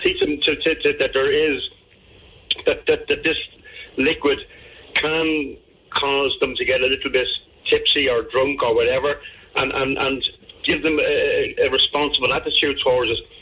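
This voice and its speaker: With noticeable background noise, a man speaks in an Irish accent. His pace is moderate, with long, frequent pauses. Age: 60s. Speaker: radio panelist. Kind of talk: radio discussion. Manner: stammering, repeats words.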